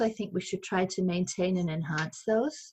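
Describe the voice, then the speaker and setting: A somewhat breathy woman at a moderate pace, with ordinary pitch variation. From London, England. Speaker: senior podcast participant. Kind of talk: group discussion. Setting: video call.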